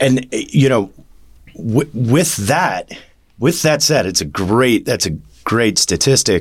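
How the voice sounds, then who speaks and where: A man with vocal fry speaks at a very slow pace in a medium pitch, his voice making very wide pitch swings. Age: 40s. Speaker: mortgage business development executive. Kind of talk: casual interview. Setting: studio, in person.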